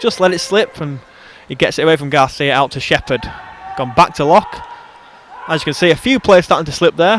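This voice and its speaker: A man with an English accent talks at a very fast pace, his pitch fairly high with ordinary variation, against noticeable background noise. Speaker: football commentator. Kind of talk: live commentary. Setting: football stadium. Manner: clear and precise; animated.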